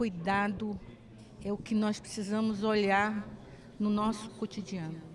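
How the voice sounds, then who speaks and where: A woman at medium pitch talks at a fairly slow pace with long, frequent pauses, her intonation monotone and flat and her loudness very even. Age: 70s. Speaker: actress. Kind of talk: interview. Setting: film festival.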